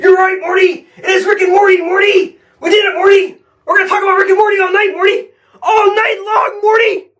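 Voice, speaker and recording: A put-on character voice at an extremely high pitch rattles along at a fairly quick pace. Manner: exaggerated, cringy, creepy.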